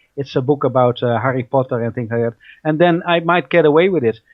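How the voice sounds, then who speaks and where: At a fairly quick pace, a man with a Dutch accent speaks at a fairly high pitch with ordinary pitch variation. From Netherlands. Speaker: researcher and radio host. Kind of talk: interview. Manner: hesitant, many fillers and repetitions.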